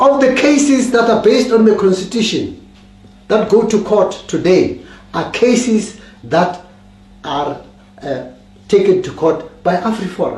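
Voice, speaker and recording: A man speaks at a fairly slow pace with long, frequent pauses. His high voice has lively intonation, and audible room echo surrounds it. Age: 70s. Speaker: political commentator. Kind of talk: political talk. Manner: halting.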